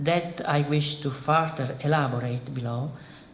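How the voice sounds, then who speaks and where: A man with an Italian accent, fairly high-pitched and somewhat breathy, at a fairly slow pace, with ordinary pitch variation and audible room echo. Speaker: philosophy professor. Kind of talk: lecture. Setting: conference hall with audience. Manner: formal.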